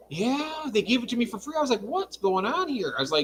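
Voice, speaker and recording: A man talks at a moderate pace with an extremely high pitch and very wide pitch swings, over noticeable background noise. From Michigan. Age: 60s. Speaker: livestream guest. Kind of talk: casual chat.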